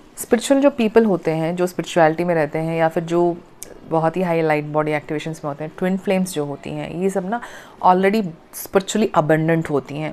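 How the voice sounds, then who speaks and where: At a moderate pace, a woman speaks in a dark, mellow tone, fairly low in pitch, with ordinary pitch variation. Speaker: spiritual healer and coach. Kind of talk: talk to camera, self-help explainer. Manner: frequent fillers and hesitations.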